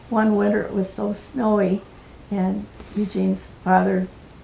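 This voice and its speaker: A woman speaks with an American accent at a fairly slow pace. Noticeable background noise runs behind her. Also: long, frequent pauses. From US Midwest, northern Illinois. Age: 80s+. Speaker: oral history interviewee. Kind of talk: oral history interview.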